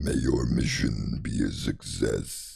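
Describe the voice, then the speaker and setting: A man speaks in a cartoonish character voice. His pace is fairly slow. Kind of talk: put-on cartoon villain robot voice. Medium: virtual streamer. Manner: flat, formal, mechanical.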